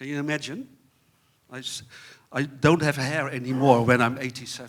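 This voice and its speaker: The intonation is monotone and flat, while the loudness swings widely. The recording is very clean, with a silent background. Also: man, medium pitch for a man, moderate pace. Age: 60s. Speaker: panel moderator. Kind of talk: conference panel introduction. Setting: stage with audience. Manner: halting, many repetitions.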